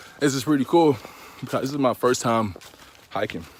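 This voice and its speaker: Speaking at a fairly quick pace, a man is heard through noticeable background noise. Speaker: vlogger. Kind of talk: casual vlog while hiking. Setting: outdoors on a muddy hiking trail. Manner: casual, slangy.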